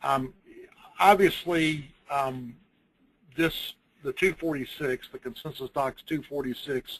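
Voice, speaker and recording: A man with a Southern US accent and fairly high pitch, very slow with long, frequent pauses, ordinary pitch variation, big swings in loudness, and a dry, close sound with no echo. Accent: Southern US (Georgia). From US South, Georgia. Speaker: construction lawyer. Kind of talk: webinar presentation. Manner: halting.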